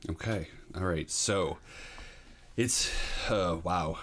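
A man with a very deep, low voice speaks in an American accent. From New Hampshire, US. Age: 40s. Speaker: educator, podcast guest. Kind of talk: personal recovery story in interview. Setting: in person, host's room. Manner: hesitant, many fillers.

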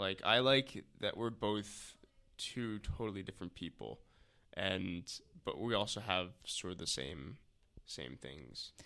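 A man with an American accent talks at a fairly slow pace in a fairly low pitch, his tone bright and sharp, his intonation lively and his voice touched with vocal fry. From New Jersey, Maplewood. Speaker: host's boyfriend, former conservation corps member. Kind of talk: casual chat.

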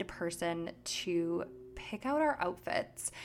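A woman speaks with an American accent. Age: 20s. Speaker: podcast host. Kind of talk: casual solo chat.

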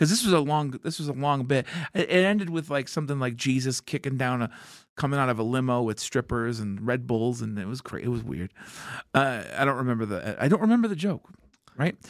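A man speaks at a medium pitch and a fairly quick pace, with lively intonation and a plain, everyday voice. The recording is very clean, with a silent background. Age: 40s. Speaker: stand-up comedian and actor. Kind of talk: casual chat.

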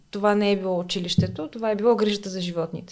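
Over noticeable background noise, a woman speaks at a medium pitch and a moderate pace in a monotone, flat intonation. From Bulgaria, Smolyan (Rhodopes). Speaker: veterinarian. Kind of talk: casual interview.

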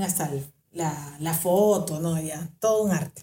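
Her dark, mellow tone is somewhat breathy, with ordinary pitch variation. The woman speaks at a fairly slow pace. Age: 50s. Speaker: podcast host. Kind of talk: casual storytelling monologue.

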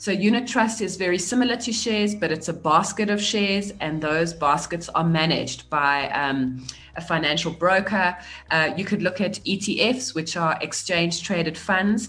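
At a moderate pace, a woman speaks in a normal speaking voice, fairly low in pitch with ordinary pitch variation. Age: 40s. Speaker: businesswoman and author. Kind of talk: interview on personal finance.

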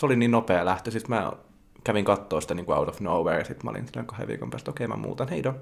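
A man's fairly low voice with vocal fry and lively intonation, at a very fast pace. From Finland, Varkaus. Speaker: podcast co-host. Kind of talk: casual chat. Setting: home studio.

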